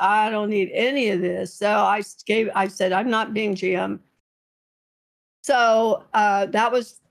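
A woman's fairly high voice with fairly even intonation, a fairly slow pace, and long, frequent pauses. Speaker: video game streamer. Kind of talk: interview answer.

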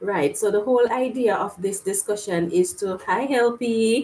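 This woman talks at a fairly slow pace, with ordinary pitch variation. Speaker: gardening channel host. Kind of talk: casual live stream chat. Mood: cheerful, smiling. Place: home room. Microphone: webcam.

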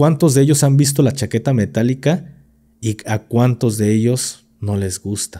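Speaking fairly slowly with a Mexican accent, a man has a dark, mellow tone and ordinary pitch variation. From Mexico. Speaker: podcast host, former military; podcast host. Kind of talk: casual chat. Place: studio. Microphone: studio mic.

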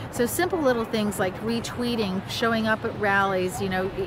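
A woman speaks at a moderate pace with ordinary pitch variation, her dry, echo-free sound set against noticeable background noise. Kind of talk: interview answer. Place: street. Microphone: phone near.

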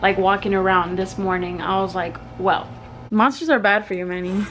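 With music playing behind her, a woman talks at a moderate pace using fairly even intonation. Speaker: vlogger. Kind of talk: casual vlog chat. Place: home room. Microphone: phone near.

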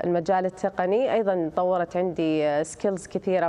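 A woman talks at a fairly low pitch. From Saudi Arabia. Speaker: app developer student. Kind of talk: TV interview. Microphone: video call.

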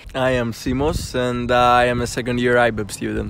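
At a moderate pace, a man speaks in a dry recording with no echo and light background noise. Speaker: audience member. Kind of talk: interview answer. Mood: cheerful, smiling. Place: street. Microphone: phone near.

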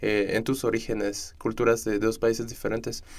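Here is a normal speaking voice. Its pace is moderate. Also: man. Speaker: student podcast host. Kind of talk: interview conversation. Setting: studio.

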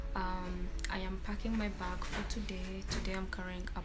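Clear music is heard in the background. Over it, a woman talks. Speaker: university student vlogger. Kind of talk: casual vlog chat. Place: home room. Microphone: phone near.

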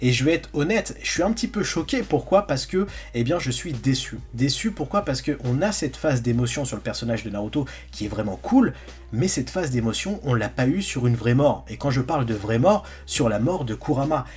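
Faint music sits in the background. This man's delivery is fairly quick. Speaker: anime content creator. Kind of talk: commentary. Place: home room.

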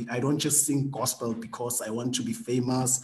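The speed of this speech is moderate. The speaker is a man. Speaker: guest. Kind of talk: interview answer. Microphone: video call.

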